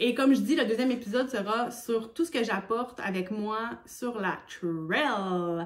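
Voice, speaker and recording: In a Quebec accent, a woman speaks at a high pitch with lively intonation. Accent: Québécois French. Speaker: hiking vlogger. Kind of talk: casual vlog talk.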